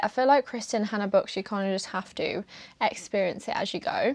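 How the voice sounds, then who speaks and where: Against a quiet background, a woman with a British accent speaks at a fairly high pitch. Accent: British accent, noticeable. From UK. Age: 20s. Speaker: book content creator. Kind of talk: casual chat. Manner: casual, filler-heavy.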